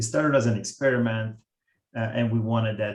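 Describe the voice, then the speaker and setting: A man with an Italian accent speaks at a fairly low pitch with fairly even intonation. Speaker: software product manager. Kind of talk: presentation. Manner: halting, many fillers.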